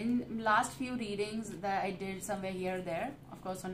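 Against noticeable background noise, a woman with a medium pitch speaks with fairly even intonation. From India. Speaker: tarot reader. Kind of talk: tarot reading. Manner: halting. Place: home room. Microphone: phone near.

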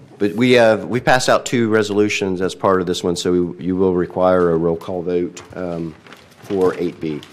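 Noticeable background noise sits under the speech. The pace is moderate, and the pitch varies in an ordinary way. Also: man, very deep, low pitch for a man. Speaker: city official reading agenda. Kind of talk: public meeting agenda reading. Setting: city council meeting.

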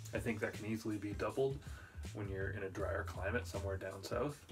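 A man at a fairly quick pace with ordinary pitch variation and clear music in the background. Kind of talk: casual tutorial chat. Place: workshop.

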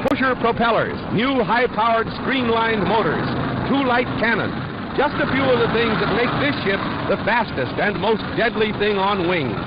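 The pace is moderate and the sound is dry with no echo. Loud background noise runs underneath. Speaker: newsreel narrator. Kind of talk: newsreel narration. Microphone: old recording.

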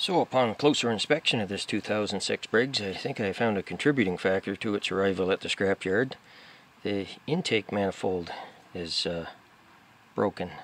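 At a moderate pace, a man with an ordinary speaking voice talks at a fairly low pitch with ordinary pitch variation, the sound dry with no echo and light background noise. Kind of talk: tutorial. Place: garden.

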